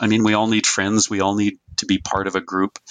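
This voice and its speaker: Over a quiet background, a man uses a bright, sharp tone at a fairly low pitch and a fairly quick pace, in a dry, close sound with no echo. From North Dakota (Fargo). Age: 60s. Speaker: retired journalism professor. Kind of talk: interview.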